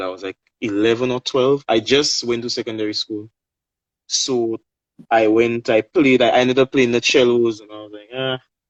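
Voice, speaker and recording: A man at a medium pitch talks at a moderate pace with fairly even intonation, big swings in loudness, and long, frequent pauses. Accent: Saint Lucian. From Saint Lucia. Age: 20s. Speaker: steelpan player and singer. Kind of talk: interview on a live stream. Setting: social media live video call.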